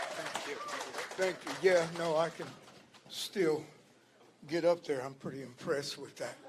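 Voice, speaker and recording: Over noticeable background noise, a man with a fairly high voice talks at a fairly slow pace with fairly even intonation, long and frequent pauses, and big swings in loudness. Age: 70s. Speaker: community speaker, army veteran. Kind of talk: rally speech. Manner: halting, many fillers.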